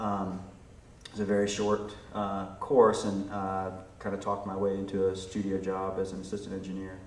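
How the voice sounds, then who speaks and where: A man with an American accent speaks at a fairly low pitch in a monotone, flat way. Audible room echo and noticeable background noise surround him. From Virginia, US. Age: 40s. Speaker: record producer and audio engineer. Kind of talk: interview. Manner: hesitant, many fillers.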